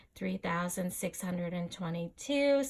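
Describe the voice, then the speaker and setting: A woman does a put-on character voice at a moderate pace, pitched fairly low. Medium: read story. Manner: cold, curt.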